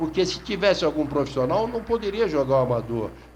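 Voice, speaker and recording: An unremarkable speaking voice, a man at a fairly quick pace with lively intonation. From Brazil, São Vicente (São Paulo coast). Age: 60s. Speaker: sports journalist. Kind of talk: radio talk monologue. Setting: online radio.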